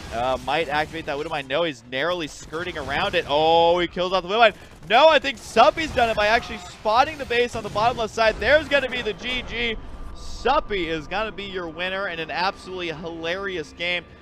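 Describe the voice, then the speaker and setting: With an animated tone, a man speaks high for a man at a fairly quick pace, his pitch swinging very widely over noticeable background noise. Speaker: gaming YouTuber. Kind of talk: casual game commentary. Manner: excitable, animated.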